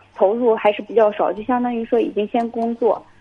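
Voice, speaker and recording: Fairly high female voice, noticeable background noise behind it. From Jinan, Shandong. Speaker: university student caller. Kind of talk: phone-in question. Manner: hesitant, many fillers.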